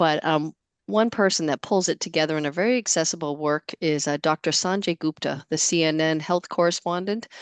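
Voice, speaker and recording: A woman with a Boston accent, very deep and low in pitch, fairly quick, with ordinary pitch variation, very even loudness, a quiet background, and a dry, close sound with no echo. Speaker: webinar moderator. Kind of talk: webinar discussion.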